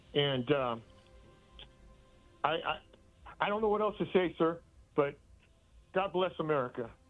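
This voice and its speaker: With music in the background, a man talks at a moderate pace with lively intonation and long, frequent pauses. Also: fairly high pitch for a man. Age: 70s. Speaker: caller. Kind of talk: call-in comment. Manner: halting, repeating words.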